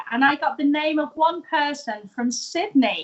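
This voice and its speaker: A woman with a British accent speaks at a moderate pace with ordinary pitch variation. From UK. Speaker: tea business owner turned live-tweeter. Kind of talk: interview. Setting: live stream.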